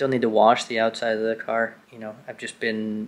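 Moderate pace from a male speaker. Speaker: car vlogger. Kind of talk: casual vlog chat. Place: home room. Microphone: phone near.

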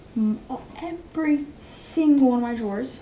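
With audible room echo, a woman speaks at a moderate pace in a high pitch, with a dark, mellow tone and ordinary pitch variation.

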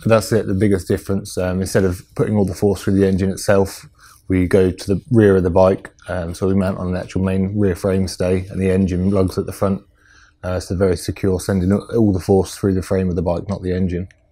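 Against a quiet background, a man talks in a very deep, low voice with a dark, mellow tone and monotone, flat intonation. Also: fairly quick pace. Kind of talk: interview answer. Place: workshop.

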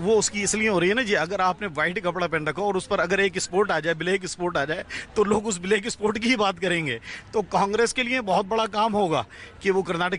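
The speech comes at a fairly quick pace with ordinary pitch variation, dry with no echo. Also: man. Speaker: interviewee. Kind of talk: interview answer. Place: street. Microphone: handheld.

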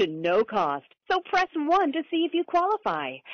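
Her pitch swings very widely as a woman speaks at a moderate pace. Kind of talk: pre-recorded telemarketing message. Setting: phone line.

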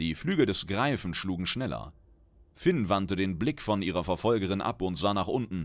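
In a very clean recording with a silent background, a man uses an animated, theatrical tone, very deep and low in pitch with vocal fry and very wide pitch swings. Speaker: audiobook narrator. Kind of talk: dramatic narration of a fantasy short story, read aloud with character voices. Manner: animated, theatrical, voicing characters with exaggerated flair.

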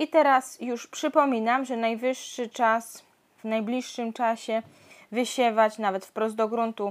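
A woman talks very slowly with fairly even intonation, the background quiet. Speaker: home gardener vlogger. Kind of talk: casual vlog chat. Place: garden. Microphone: phone near.

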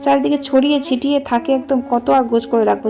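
Music can be heard in the background. The woman's pitch rises and falls in an ordinary way. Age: 20s. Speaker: vlogger and housewife. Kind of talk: casual vlog narration. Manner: chatty, conversational.

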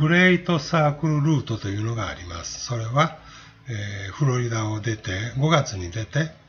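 Against noticeable background noise, a man with a medium pitch speaks at a moderate pace, his intonation lively and his loudness swinging widely. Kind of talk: travel guide narration.

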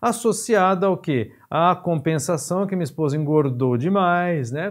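Against a quiet background, a man with an unremarkable speaking voice talks at a fairly slow pace with ordinary pitch variation. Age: 50s. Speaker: physiotherapy teacher. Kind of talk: lecture. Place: studio.

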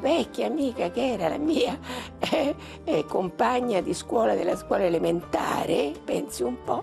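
Music sounds clearly behind the speaker. She is a woman, and her delivery is fairly slow. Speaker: retired schoolteacher. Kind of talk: interview answer. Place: home room. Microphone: lapel.

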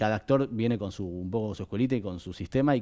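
Against a quiet background, a man talks in a fairly low pitch with a dark, mellow tone and ordinary pitch variation. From Argentina. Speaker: film director; guest. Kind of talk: interview. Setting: studio. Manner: halting, many fillers and repetitions. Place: studio. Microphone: headset.

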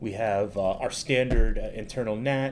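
A man talks at a moderate pace with ordinary pitch variation while light noise sounds in the background. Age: 30s. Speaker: cloud technology advocate; presenter. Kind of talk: tutorial. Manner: casual with filler words. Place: home room.

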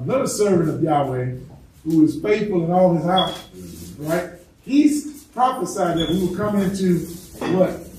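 With lively intonation, a man speaks in a high voice amid noticeable background noise and audible room echo. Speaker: religious teacher. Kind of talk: sermon. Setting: congregation present in person. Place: home room.

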